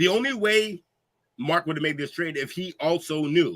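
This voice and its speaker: Loud and animated, a man speaks at a high pitch and a moderate pace. His tone is bright and sharp. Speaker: podcast host. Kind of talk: casual chat.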